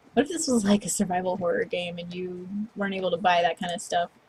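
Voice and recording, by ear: Here the speaker is reading aloud in a natural voice. The pitch shifts by an ordinary amount.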